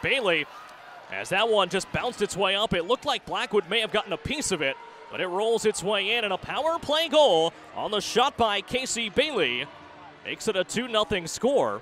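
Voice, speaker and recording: With a raised, projected voice, a man speaks at a high pitch in an animated, energetic tone with lively intonation over noticeable background noise. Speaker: hockey play-by-play announcer. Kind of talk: live sports commentary, play-by-play of hockey highlights. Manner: fast, energetic.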